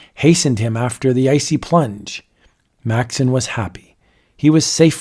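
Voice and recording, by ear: A quiet background behind reading aloud in a natural voice, pitch varying in an ordinary way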